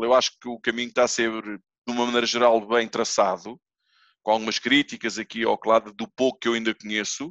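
A bright, sharp tone at a fairly quick pace. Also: man, dry, close sound with no echo, quiet background. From Portugal, Almada (Feijó). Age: 40s. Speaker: padel club owner. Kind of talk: casual chat.

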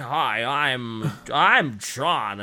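A man's put-on character voice at medium pitch, over light background noise

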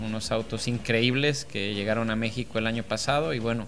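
Over noticeable background noise and audible room echo, a man talks at a medium pitch. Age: 40s. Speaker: racing driver. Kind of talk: casual interview. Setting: in person at a race event.

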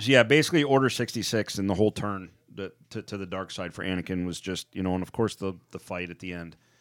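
Talking at a very fast pace with hardly any pauses, a man with a fairly low pitch shows ordinary pitch variation and big swings in loudness. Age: 40s. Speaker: podcast co-host. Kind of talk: casual chat. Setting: studio.

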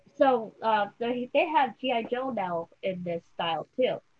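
A woman speaks in an unremarkable speaking voice, fairly high in pitch, with ordinary pitch variation. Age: 40s. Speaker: podcast host. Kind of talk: interview.

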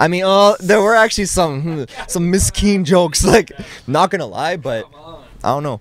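A man with a Canadian accent speaks at a moderate pace in a high voice with lively intonation over noticeable background noise. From Orléans, Ottawa, Canada. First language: French (bilingual with English). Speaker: rapper. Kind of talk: casual chat. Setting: studio.

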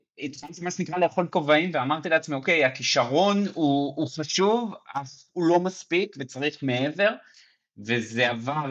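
An ordinary speaking voice from a man, with lively intonation at a fairly slow pace. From Israel, Mevaseret Zion near Jerusalem. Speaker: basketball fan guest. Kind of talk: casual sports chat.

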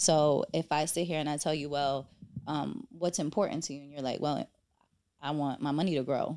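In a New York accent, a woman speaks at a moderate pace with very deep, low pitch. Her tone is dark and mellow, and her intonation stays fairly even. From New York, the Bronx. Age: 30s. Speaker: financial advisor. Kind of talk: casual chat.

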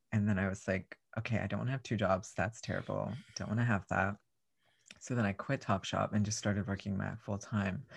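Vocal fry runs through this voice, its intonation fairly even, in a very clean recording with a silent background. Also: man, fairly low pitch for a man. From South Texas. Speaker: drag performer. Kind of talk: casual chat.

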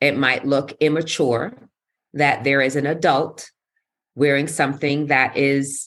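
In a New York accent, a woman with a very deep, low pitch and ordinary pitch variation talks at a fairly slow pace on a very clean recording with a silent background. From New York City. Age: 50s. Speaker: wellness coach and yoga teacher. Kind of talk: casual interview. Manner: animated.

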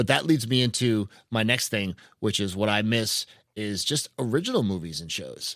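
A man with an American accent talks at a moderate pace in a normal speaking voice, pitched fairly low. The recording is very clean, with a silent background. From New Hampshire, US. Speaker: podcast host. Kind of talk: casual chat.

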